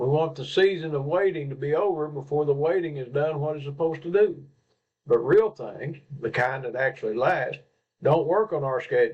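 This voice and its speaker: This man speaks with a Southern US accent at a moderate pace. His voice is fairly high and varies in pitch in an ordinary way. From Arkansas, USA. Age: 70s. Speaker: pastor and beekeeper. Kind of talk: reflective personal talk to camera.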